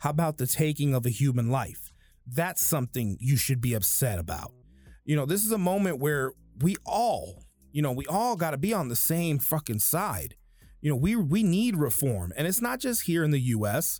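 Speaking at a moderate pace with an American accent, a man with a fairly high, somewhat breathy voice makes very wide pitch swings on a very clean recording with a silent background. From United States. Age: 30s. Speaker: podcaster. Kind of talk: angry rant, profanity-laden political monologue about civil unrest and police killings. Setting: home recording, solo. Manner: casual, rambling, ad-libbed; heated, indignant, sarcastic, cursing.

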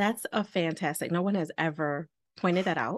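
A woman with an ordinary speaking voice, fairly low in pitch with ordinary pitch variation, at a fairly slow pace against a quiet background. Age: 40s. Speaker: relationship and balance coach. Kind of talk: interview.

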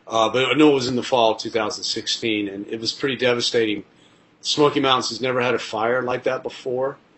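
A man with fairly even intonation against noticeable background noise. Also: medium pitch for a man, fairly quick pace. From Tennessee. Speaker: travel TV host and producer. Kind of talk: casual interview chat.

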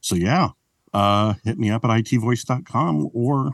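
A man's lively intonation at a fairly slow pace, with a dry, close sound and no echo. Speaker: podcaster and voiceover artist. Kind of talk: casual chat.

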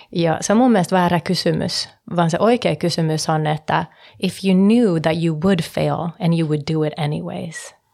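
In an unremarkable speaking voice, a woman talks at a fairly slow pace with a fairly low pitch and ordinary pitch variation. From Sweden, Stockholm (Finnish parents). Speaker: real estate investor and entrepreneur. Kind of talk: casual chat. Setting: studio.

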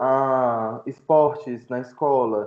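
This man talks at a medium pitch with a monotone, flat intonation. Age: 20s. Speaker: student and fat-acceptance activist. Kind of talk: casual podcast interview.

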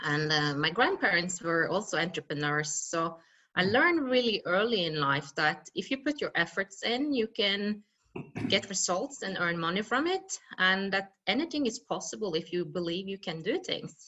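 A woman with a Norwegian accent speaks, her pitch swinging very widely up and down. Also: medium pitch for a woman, moderate pace. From western Norway. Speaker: mountaineer and speaker. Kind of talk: interview. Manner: halting.

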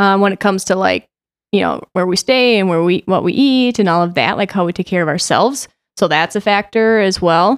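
A woman with an American accent and an unremarkable speaking voice, at a fairly quick pace with ordinary pitch variation and very even loudness, in a dry, close recording with no echo, very clean against a silent background. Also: medium pitch for a woman. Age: 30s. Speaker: artistic director. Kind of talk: casual chat.

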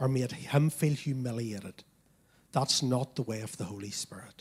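The voice is somewhat breathy and moves at a moderate pace. Pitch varies in an ordinary way. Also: man. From Northern Ireland. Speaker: pastor. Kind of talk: sermon. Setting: church.

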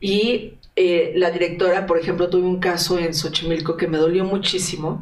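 A woman's fairly low voice at a moderate pace, monotone and flat in intonation, with very even loudness, audible room echo and noticeable background noise. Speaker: investigative journalist. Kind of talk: interview.

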